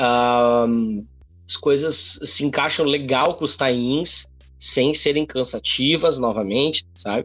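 At a very slow pace, a man of medium pitch speaks with very even loudness and ordinary pitch variation. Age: 30s. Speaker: comics podcast host. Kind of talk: solo commentary. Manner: halting.

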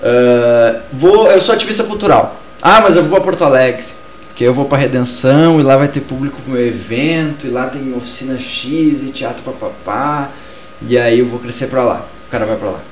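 Noticeable background noise and audible room echo surround a man speaking at a moderate pace. His fairly high voice carries lively intonation. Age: 20s. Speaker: culture talk show host, cultural activist. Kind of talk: casual discussion show. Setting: live-streamed studio show.

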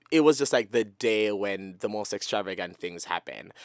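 A man with a Jamaican accent at a moderate pace, animated tone and lively intonation, dry and close with no echo, in a very clean recording with a silent background. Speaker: podcast co-host. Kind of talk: casual chat, comedic banter. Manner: animated, joking, laughs often.

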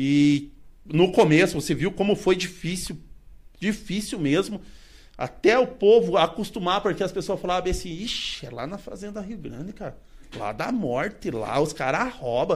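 High-pitched male voice at a moderate pace, lively in intonation, with big swings in loudness. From southern Brazil, Paraná. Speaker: vintage car collector. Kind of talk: casual chat.

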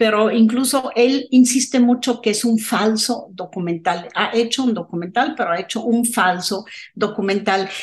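Its pitch varies in an ordinary way. Overall, this is a normal speaking voice. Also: woman. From abroad, not Mexico. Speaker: film podcast co-host. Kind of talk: casual film discussion.

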